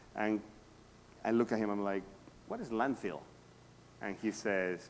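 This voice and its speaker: At a moderate pace, a man speaks in a fairly low pitch with a Spanish accent. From South America. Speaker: real estate agent. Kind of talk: talk to a workshop audience.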